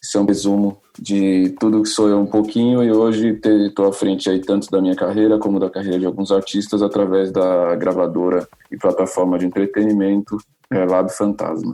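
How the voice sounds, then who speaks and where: Fairly low in pitch, a man speaks in a dark, mellow tone with monotone, flat intonation. His pace is moderate and his loudness very even. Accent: São Paulo. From Brazil, São Paulo north zone periphery. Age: 30s. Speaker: musician and music entrepreneur. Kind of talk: podcast interview.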